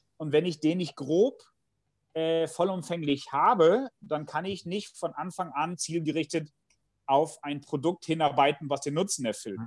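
This man has an ordinary speaking voice, pitched fairly high for a man. He talks at a fairly slow pace. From Bielefeld, Germany. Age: 40s. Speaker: management professor and consultant. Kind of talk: interview conversation.

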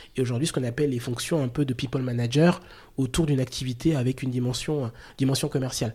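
Very fast and somewhat breathy, a man speaks at a medium pitch in a dark, mellow tone with fairly even intonation on a very clean recording with a silent background. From Chad. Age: 40s. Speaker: recruitment director. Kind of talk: interview. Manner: halting.

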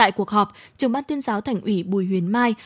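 An ordinary speaking voice with ordinary pitch variation comes through on a very clean recording with a silent background and a dry, close sound with no echo. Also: woman. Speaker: radio host. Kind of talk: news reading. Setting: studio.

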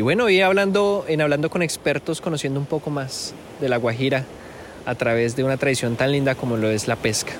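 A man speaks fairly quickly at a fairly high pitch, with lively intonation. His loudness stays very even against noticeable background noise. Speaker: podcast host and journalist. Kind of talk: podcast interview with narrated intro. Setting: outdoors on the coast at sunset.

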